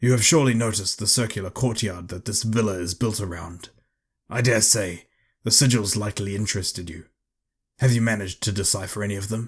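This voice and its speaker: Putting on a character voice, a man rattles off words at a very fast pace, raspy and fairly low in pitch. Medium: read story. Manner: formal, lecturing.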